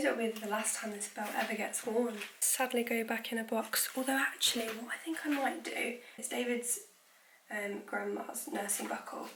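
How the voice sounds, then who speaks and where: In a British accent, a woman talks at a moderate pace with fairly high pitch and fairly even intonation. Noticeable background noise and audible room echo are present. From UK. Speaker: nurse vlogger. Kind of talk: casual vlog.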